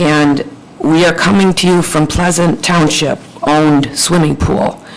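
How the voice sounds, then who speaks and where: Over noticeable background noise, a woman with an American accent talks at a fairly slow pace in a very deep, low pitch with monotone, flat intonation. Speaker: township trustee. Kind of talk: formal presentation at public meeting. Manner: hesitant, many fillers.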